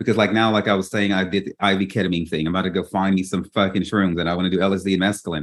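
Speaking at a very fast pace with hardly any pauses, a man talks in a very deep, low voice. The background is quiet. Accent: Louisiana. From Baton Rouge, Louisiana. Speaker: podcast host and memoir author. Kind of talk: casual interview chat. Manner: animated.

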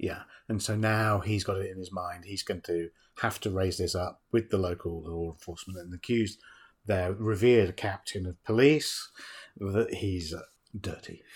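A somewhat breathy, fairly low male voice at a moderate pace, with fairly even intonation, on a very clean recording with a silent background. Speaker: film podcast host. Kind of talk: casual chat. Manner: conversational, bantering.

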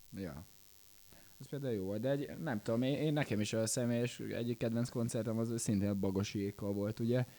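A man speaks at a fairly quick pace in a dark, mellow tone. His pitch varies in an ordinary way. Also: medium pitch for a man. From Hungary, Békéscsaba. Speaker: pop band musician. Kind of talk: casual interview. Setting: festival.

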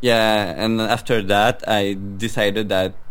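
A man talks with a non-native accent. His pitch sits fairly low. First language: French. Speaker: indie game developer. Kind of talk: casual interview. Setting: remote call. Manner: halting.

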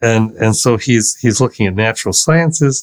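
Heard in a very clean recording with a silent background and a dry, close sound with no echo, a man speaks at a medium pitch and a fairly slow pace with ordinary pitch variation. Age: 60s. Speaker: professor of English and philosophy. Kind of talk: casual chat. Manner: halting.

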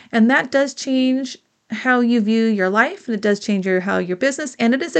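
Here is a woman with a plain, everyday voice. Her pace is moderate, her pitch varies in an ordinary way, and the background is quiet. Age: 50s. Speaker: podcast host and business coach. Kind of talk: solo podcast monologue, advice talk.

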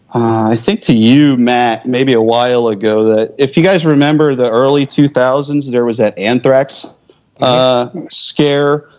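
A man speaks in a plain, everyday voice with an American accent, at medium pitch. His pace is fairly slow, his intonation fairly even and his loudness very even. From US Northeast, Philadelphia area. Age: 40s. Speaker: military veteran. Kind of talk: casual chat.

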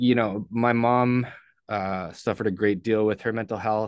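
A man with a Canadian accent, monotone and flat in intonation, at a moderate pace. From Ontario, Canada (St. Catharines). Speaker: person in addiction recovery. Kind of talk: personal testimony in interview.

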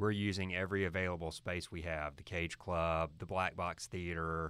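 A man's very deep, low voice, flat and monotone, at a fairly quick pace in a very clean recording with a silent background. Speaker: high school principal. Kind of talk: interview conversation.

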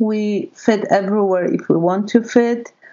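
A woman's plain, everyday voice, fairly high in pitch, with ordinary pitch variation. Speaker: charity volunteer. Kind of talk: interview.

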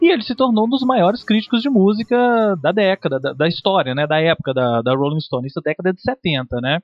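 A man with a high voice talks at a fairly quick pace, barely pausing, his pitch swinging very widely. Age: 30s. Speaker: music journalist. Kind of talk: casual chat. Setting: studio.

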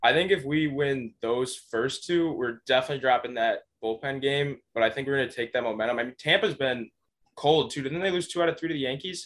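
With an American accent, a man talks at a fairly quick pace in an unremarkable speaking voice with ordinary pitch variation. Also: fairly high pitch for a man. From Buffalo, New York. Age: 20s. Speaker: contest-winning listener. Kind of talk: casual chat.

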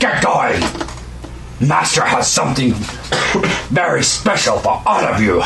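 A man puts on a guttural character voice. He talks at a moderate pace over loud background noise. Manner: barking, bullying.

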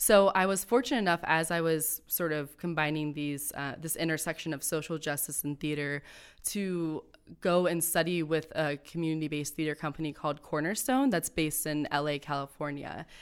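A woman with an American accent speaks in a very deep, low voice at a fairly quick pace. Her intonation is fairly even, on a very clean recording with a silent background. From Akron, Ohio. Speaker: theater artist and festival organizer. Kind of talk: casual interview chat.

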